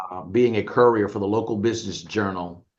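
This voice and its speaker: A man with an American accent, an ordinary speaking voice and fairly even intonation. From New Orleans, US South. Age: 60s. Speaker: business owner and media executive. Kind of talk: interview.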